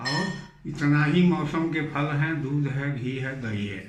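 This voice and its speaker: Audible room echo and noticeable background noise surround a man's voice. His pitch is fairly high, with ordinary variation. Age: 70s. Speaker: doctor giving health advice. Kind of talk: health talk to camera.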